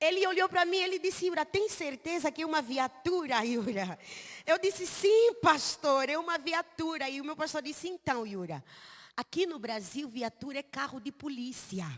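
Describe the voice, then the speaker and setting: A high-pitched woman's voice with an Angolan accent, very wide pitch swings and a moderate pace, in a dry, close sound with no echo. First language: Umbundu (speaking Portuguese). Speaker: missionary preacher. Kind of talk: sermon. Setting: church service.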